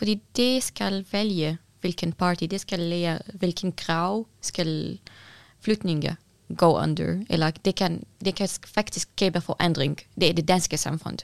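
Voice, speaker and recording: In a very clean recording with a silent background, a woman talks very slowly at a fairly low pitch with ordinary pitch variation, the sound dry and close with no echo. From Syria. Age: young. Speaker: activist and building designer. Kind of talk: interview. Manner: halting.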